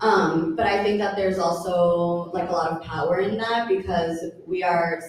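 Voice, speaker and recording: A woman's fairly low voice in an American accent, over noticeable background noise. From United States, Colombian family. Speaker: artist. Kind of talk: panel conversation.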